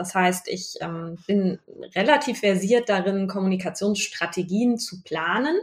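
With noticeable background noise behind her, a woman speaks at a medium pitch and a moderate pace, with ordinary pitch variation. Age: 30s. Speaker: business owner and university lecturer. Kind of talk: casual interview. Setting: in person, recorded side by side.

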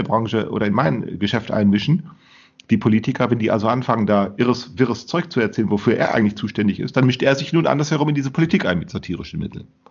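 The speech rushes along at a very fast pace with lively intonation. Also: man. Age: 50s. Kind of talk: casual discussion.

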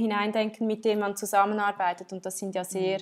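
A woman speaks at a medium pitch in a monotone, flat intonation, on a very clean recording with a silent background. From Switzerland. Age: 30s. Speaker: entrepreneur and textile designer. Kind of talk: interview. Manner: halting, many fillers and restarts.

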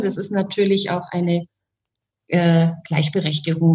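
Here is a woman speaking. Her voice is somewhat breathy. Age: 40s. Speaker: sex coach and bodywork practitioner. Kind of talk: casual interview chat.

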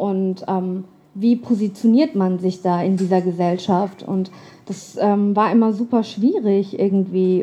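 This somewhat breathy voice has a dark, mellow tone. Pitch moves in an ordinary way. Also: woman. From Germany. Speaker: writer. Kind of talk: storytelling performance.

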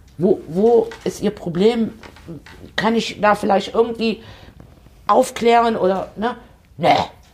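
At a very slow pace with long, frequent pauses, a woman speaks with lively intonation. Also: fairly high pitch for a woman. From eastern Germany. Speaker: podcast host, politician and elderly-care nurse. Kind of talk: casual chat.

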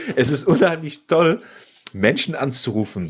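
Moderately paced speech from a man, a normal speaking voice with lively intonation. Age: 30s. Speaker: business coach. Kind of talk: casual chat.

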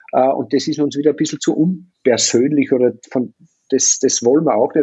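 Medium in pitch with ordinary pitch variation, a man speaks at a moderate pace in a plain, everyday voice. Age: 50s. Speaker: hotelier and triathlon team manager. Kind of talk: casual interview.

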